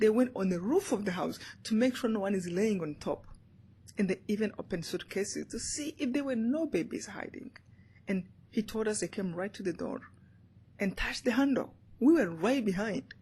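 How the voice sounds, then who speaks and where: With a Rwandan accent, a woman speaks at a fairly quick pace with long, frequent pauses, her fairly high voice somewhat breathy, dark and mellow, with lively intonation. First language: Kinyarwanda. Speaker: motivational speaker and author. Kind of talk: interview answer.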